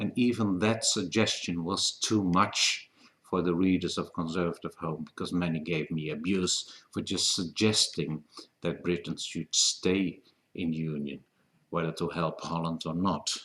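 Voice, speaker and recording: Speaking at a fairly slow pace, a man with a Dutch accent has a very deep, low pitch. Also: fairly even intonation. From Netherlands. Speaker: political commentator. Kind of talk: open video letter. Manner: halting.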